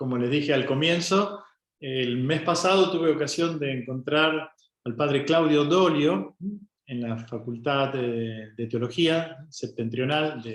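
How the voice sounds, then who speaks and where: This man speaks at a fairly slow pace, his fairly high pitch moving with ordinary variation. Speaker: friar teaching a Bible course. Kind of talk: Q&A session of a Bible course.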